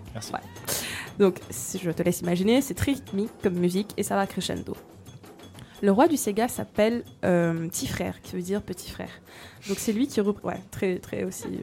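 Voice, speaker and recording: With music in the background, a woman talks with long, frequent pauses. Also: medium pitch for a woman, ordinary pitch variation, moderate pace. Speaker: radio host presenting music segment. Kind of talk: casual chat.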